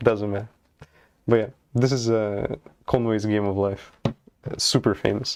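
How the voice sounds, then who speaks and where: A man talks at a moderate pace. His fairly low voice has monotone, flat intonation. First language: not English. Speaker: programming live streamer. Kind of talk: live coding stream chat. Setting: live stream. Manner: casual, halting with many fillers.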